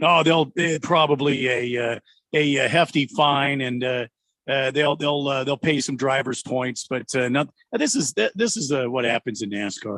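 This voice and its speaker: A man speaks in a normal speaking voice, fairly high in pitch. His pitch varies in an ordinary way, and the sound is dry and close with no echo. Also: moderate pace. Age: 60s. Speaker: sports radio co-host. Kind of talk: casual chat.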